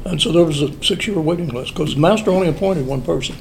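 Amid noticeable background noise and audible room echo, a fairly high-pitched man with an American accent speaks with ordinary pitch variation. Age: 70s. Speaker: Freemason lodge elder. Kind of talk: interview. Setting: lodge building.

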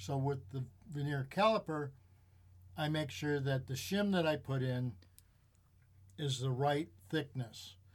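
A man with an American accent, fairly high in pitch with ordinary pitch variation, somewhat breathy, at a fairly slow pace with long, frequent pauses, in a very clean recording with a silent background. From US Midwest, Chicago suburbs. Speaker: auto mechanic. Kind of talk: casual chat. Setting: studio.

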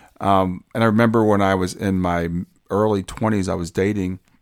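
On a very clean recording with a silent background, a man with an American accent speaks at a very deep, low pitch with fairly even intonation. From US Midwest, Columbus, Ohio. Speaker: podcast host. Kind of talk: solo monologue.

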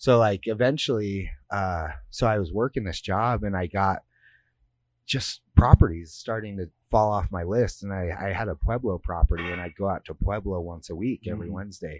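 Recorded very cleanly against a silent background, a man with a plain, everyday voice speaks fairly low at a moderate pace, with big swings in loudness and a dry, close sound with no echo. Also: ordinary pitch variation. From US West (Lake Tahoe, California). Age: 30s. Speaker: strongman athlete and gym owner. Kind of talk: casual interview. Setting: gym facility.

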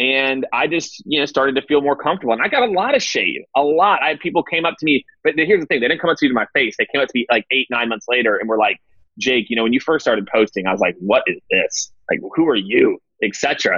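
Very fast and lively in intonation, a man speaks at a fairly high pitch. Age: 30s. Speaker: sales executive and CEO. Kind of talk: interview.

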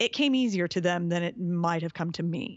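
A woman's medium-pitched voice at a moderate pace, an ordinary speaking voice. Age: 40s. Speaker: fitness trainer and obstacle racer. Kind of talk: interview. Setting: call.

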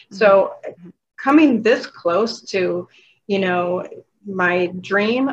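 With a plain, everyday voice, a woman speaks at medium pitch and a fairly slow pace with ordinary pitch variation. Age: 50s. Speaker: hypnotherapist, former nurse. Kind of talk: casual interview.

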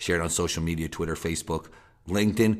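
A man speaks in an energetic tone. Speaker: podcast host. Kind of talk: scripted intro and outro.

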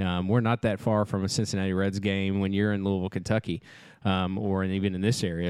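In an animated tone, a man with a fairly low voice speaks at a fairly quick pace. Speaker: podcast co-host, camp staffer. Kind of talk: casual chat. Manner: animated, joking.

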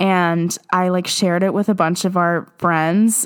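A woman speaks at medium pitch with monotone, flat intonation. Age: 20s. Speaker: podcast host reading fan fiction. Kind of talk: casual commentary with reading aloud. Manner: filler-heavy, casual.

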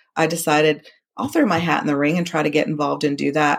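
Recorded very cleanly against a silent background, a woman has a normal speaking voice. Her pitch is fairly low, with ordinary pitch variation. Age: 40s. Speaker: amateur tennis player and breast cancer survivor. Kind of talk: interview testimony.

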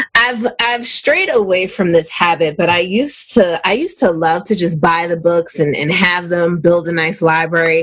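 With hardly any pauses, a woman with a fairly low voice speaks at a moderate pace in an upbeat, animated tone, her pitch varying in an ordinary way over noticeable background noise. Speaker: radio host. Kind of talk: radio dj patter. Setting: radio studio, live.

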